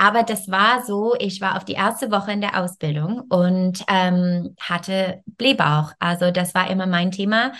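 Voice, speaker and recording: A woman at medium pitch, fairly slow yet with hardly any pauses, in fairly even intonation. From Canada. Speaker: yoga teacher and wellness coach. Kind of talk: interview. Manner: halting.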